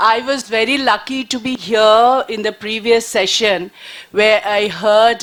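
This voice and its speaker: Over noticeable background noise, a woman with a Bengali accent speaks very slowly at a fairly high pitch with ordinary pitch variation. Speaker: panelist, journalist. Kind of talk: panel discussion talk. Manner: halting, many fillers.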